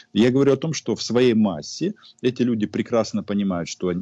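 Over a quiet background, a man speaks at a medium pitch and a moderate pace with lively intonation. His tone is dark and mellow, and the sound is dry and close with no echo. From Ukraine. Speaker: journalist. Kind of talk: casual chat. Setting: video call.

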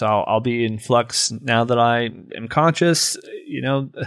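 A man with an ordinary speaking voice and a medium pitch speaks at a fairly slow pace on a very clean recording with a silent background. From US Midwest, rural Ohio. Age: 40s. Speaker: poet and podcaster. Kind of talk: casual interview conversation.

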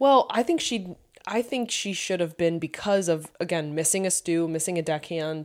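At a moderate pace and with ordinary pitch variation, the speaker uses an ordinary speaking voice. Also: woman, fairly low pitch for a woman. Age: 30s. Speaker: podcast co-host. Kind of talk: casual chat.

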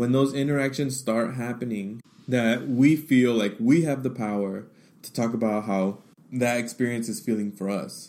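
At a moderate pace, a man talks with medium pitch and a dark, mellow tone. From US, Mexican-American family. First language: Spanish. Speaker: podcast host, diversity trainer. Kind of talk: monologue / personal testimony. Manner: animated.

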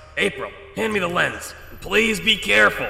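A man does a put-on character voice, with a slight echo around it. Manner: fast, long-winded, nerdy, self-aware.

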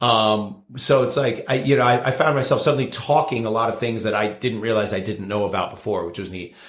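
A somewhat breathy man with an American accent, medium in pitch, at a fairly quick pace. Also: ordinary pitch variation, hardly any pauses. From New Jersey, near New York. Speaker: bartender. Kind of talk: casual interview. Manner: halting, repeats words.

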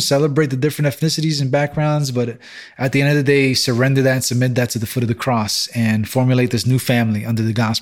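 Someone talks at a very fast pace with a New York accent and fairly even intonation. The recording is very clean, with a silent background. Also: man. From Brooklyn, New York City. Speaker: church-planting pastor. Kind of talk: interview testimony.

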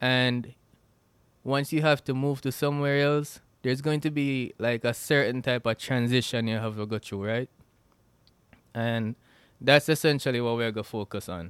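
A man with a Jamaican accent, fairly even intonation and long, frequent pauses, on a very clean recording with a silent background. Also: medium pitch for a man, moderate pace. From Jamaica (Westmoreland). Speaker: podcast host. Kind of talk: solo podcast intro, casual chat. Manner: casual, informal.

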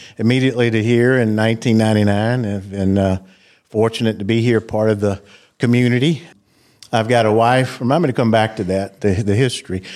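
A man with a Southern US accent talks at a fairly quick pace, medium pitch and fairly even intonation. His loudness stays very even in a very clean recording with a silent background. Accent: Southern US (Georgia). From US South, South Georgia. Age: 50s. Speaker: cardiologist. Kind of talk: interview.

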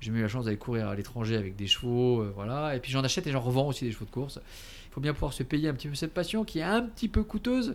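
A man's medium-pitched voice rushes along at a very fast pace with lively intonation. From Alsace, France. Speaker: entrepreneur. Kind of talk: interview. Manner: hesitant, with fillers and repetitions; laughs often.

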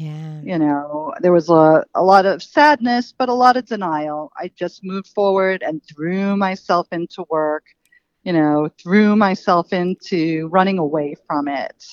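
A woman with a normal speaking voice and an American accent, fairly low in pitch, lively in intonation, at a fairly slow pace. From Queens, New York City. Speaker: nonprofit founder. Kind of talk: interview.

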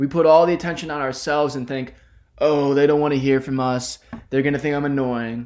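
A fairly high-pitched man talks at a fairly quick pace in a monotone, flat delivery. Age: 20s. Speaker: podcast host, college student. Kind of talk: solo podcast monologue.

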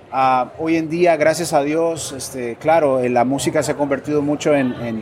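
A man speaks at a moderate pace with fairly high pitch and fairly even intonation, over noticeable background noise. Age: 40s. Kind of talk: interview. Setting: event expo.

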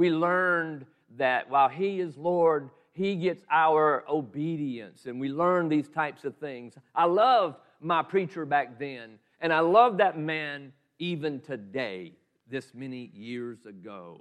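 With a Southern US accent, a man talks at a very slow pace in a fairly high voice with lively intonation. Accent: Southern US (Georgia). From US South, Southeast Georgia. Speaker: pastor. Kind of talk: sermon.

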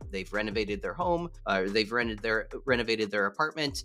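A man talks with music in the background. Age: 40s. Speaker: entrepreneur and real estate investor. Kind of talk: interview. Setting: video call.

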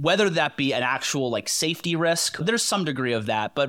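On a very clean recording with a silent background, a man with an unremarkable speaking voice talks at a moderate pace with lively intonation. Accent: American. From Connecticut. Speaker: hunter and public land advocate. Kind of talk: casual chat.

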